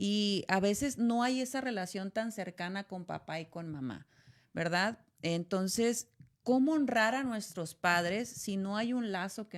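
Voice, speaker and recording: A woman's medium-pitched voice in a northern Mexican accent, fairly slow and lively in intonation, on a very clean recording with a silent background. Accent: northern Mexican (Sonoran) Spanish. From Sonora, Mexico. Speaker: podcast host. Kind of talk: casual chat.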